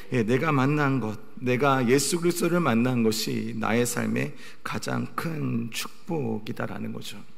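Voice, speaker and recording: Over noticeable background noise and audible room echo, a man talks at a fairly slow pace with hardly any pauses. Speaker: pastor. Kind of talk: sermon.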